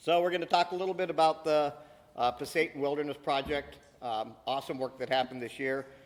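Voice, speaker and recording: A man with a fairly high voice talks at a medium speed, his pitch moving in an ordinary way. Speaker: panel moderator. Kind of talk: conference panel talk. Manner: loud.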